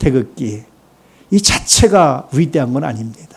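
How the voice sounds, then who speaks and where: Lively intonation in a somewhat breathy male voice. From Korea, Chungcheong region. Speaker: pastor. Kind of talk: sermon.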